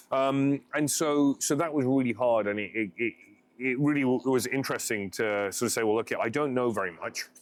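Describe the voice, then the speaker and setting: The recording is very clean, with a silent background. A man with a London accent speaks at a moderate pace and medium pitch, with ordinary pitch variation. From Southall, West London, England. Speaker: homecare franchise CEO. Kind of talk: podcast interview answer. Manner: casual, conversational.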